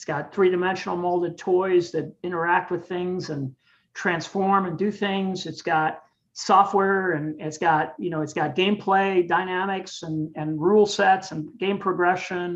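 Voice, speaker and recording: Against a quiet background, a man speaks with a high pitch and fairly even intonation. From Cuba, raised in US from age seven. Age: 60s. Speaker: game designer. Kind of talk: interview. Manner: many hesitations and repeated words.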